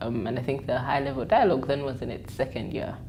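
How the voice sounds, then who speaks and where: In a room with audible echo, a woman speaks with a very deep, low pitch and fairly even intonation. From Uganda. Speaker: journalist and digital media consultant. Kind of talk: interview monologue. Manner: hesitant, many fillers.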